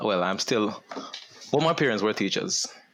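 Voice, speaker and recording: Noticeable background noise accompanies a man whose voice sits at a fairly low pitch. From Jamaica. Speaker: panel guest, father. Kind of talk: casual panel discussion.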